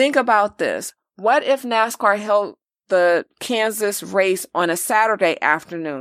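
A woman with an American accent speaks at a fairly slow pace and medium pitch, her animated tone showing ordinary pitch variation at very even loudness. The sound is dry and close with no echo, a very clean recording with a silent background. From Los Angeles. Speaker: podcast co-host. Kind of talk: casual chat.

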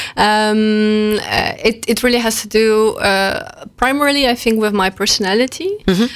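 Speaking at a fairly slow pace with a Polish accent, a woman keeps her intonation fairly even. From Poland. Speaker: customer experience manager. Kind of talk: radio interview. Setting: studio.

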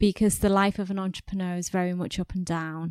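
A woman with a British accent, medium pitch and moderate pace, in a very clean recording with a silent background. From England. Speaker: podcast host. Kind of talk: interview. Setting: hotel recording venue.

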